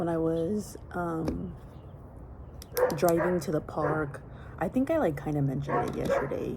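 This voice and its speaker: Noticeable background noise runs through the clip. The room echo is audible too. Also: woman. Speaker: vlogger. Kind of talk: casual vlog monologue. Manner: soft-spoken.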